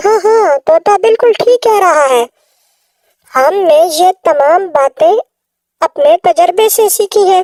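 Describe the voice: A female-sounding, cartoonish character voice with an extremely high pitch moves at a fairly slow pace.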